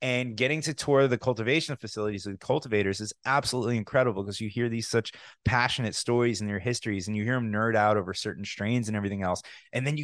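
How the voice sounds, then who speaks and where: Very fast speech with ordinary pitch variation against a quiet background. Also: man. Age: 30s. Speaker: podcast host. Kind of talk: casual interview.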